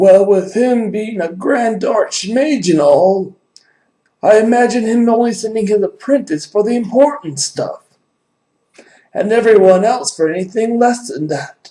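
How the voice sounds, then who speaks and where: A man puts on a high-pitched character voice and speaks at a moderate pace. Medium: actual play. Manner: chatty, rambling.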